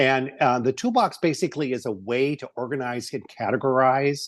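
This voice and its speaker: Fairly quick speech from a man with a Pacific Northwest accent, over a quiet background. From eastern Washington State. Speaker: presenter on case management and health equity. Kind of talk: webinar presentation and Q&A. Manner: fast; many fillers (um, uh).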